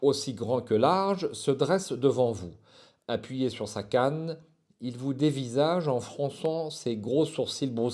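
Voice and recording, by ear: The pitch moves in an ordinary way. It is reading aloud in a natural voice.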